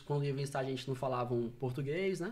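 A man's dark, mellow tone at a fairly quick pace with ordinary pitch variation. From Fortaleza, Ceará, Brazil. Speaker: insurance broker. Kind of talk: casual chat.

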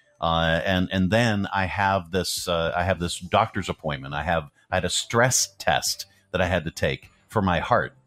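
Music plays in the background as a man talks at a moderate pace. His pitch is very deep and low. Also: ordinary pitch variation. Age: 50s. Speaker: radio show host. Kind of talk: casual morning radio chat.

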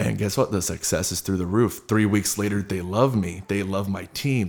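At a fairly quick pace, a man with a normal speaking voice speaks at a fairly low pitch with ordinary pitch variation. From Southern California. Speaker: fitness entrepreneur and sales team leader. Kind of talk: casual interview chat.

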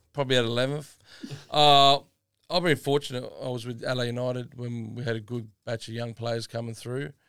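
A man with an Australian accent at medium pitch, fairly even intonation and a fairly quick pace, on a very clean recording with a silent background. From South Australia, Adelaide northern suburbs. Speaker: retired footballer. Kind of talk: casual chat. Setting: studio.

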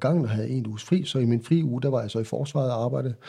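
This man's voice has a dark, mellow tone and is somewhat breathy, set against a quiet background. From central Jutland, Denmark. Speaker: military nurse. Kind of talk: interview. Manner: halting, repeats words.

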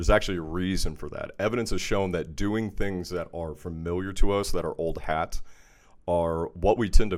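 On a very clean recording with a silent background, a man with a very deep, low pitch and an American accent talks at a moderate pace with fairly even intonation. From Texas. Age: 30s. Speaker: mental health podcast host. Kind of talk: show intro monologue; casual chat.

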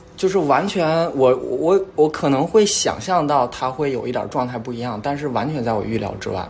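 A man's fairly high-pitched voice with lively intonation, moderate pace and hardly any pauses, over noticeable background noise. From Northeast China. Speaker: podcast guest. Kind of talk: casual chat.

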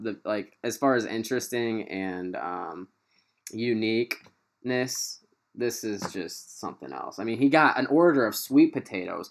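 Lively intonation marks this man's unremarkable speaking voice, which has an American accent. He keeps a moderate pace. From US Midwest, Quincy, Illinois area. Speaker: podcast host. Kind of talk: casual chat. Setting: video call.

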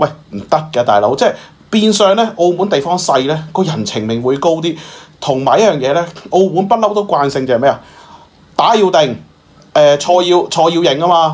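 Speaking at a moderate pace, a man with a high pitch uses an animated tone and lively intonation. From Macau. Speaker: current affairs commentator. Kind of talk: casual chat.

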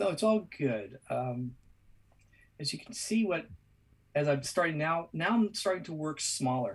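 A man with an American accent and a fairly high pitch uses lively intonation. He goes at a fairly slow pace with long, frequent pauses. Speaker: artist. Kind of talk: live drawing tutorial. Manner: halting.

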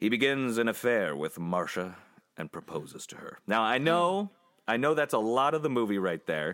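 The speaker takes a playful tone at a moderate pace, with very wide pitch swings. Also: man, medium pitch for a man, big swings in loudness. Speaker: movie podcast host. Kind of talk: casual chat, movie review podcast. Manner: joking, playful.

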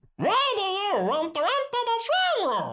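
A put-on character voice pitched extremely high. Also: moderate pace. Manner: demanding, stern.

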